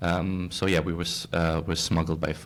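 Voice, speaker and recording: A man with a German accent and a very deep, low pitch speaks with fairly even intonation in a very clean recording with a silent background. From Germany. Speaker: social media creator. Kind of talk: interview.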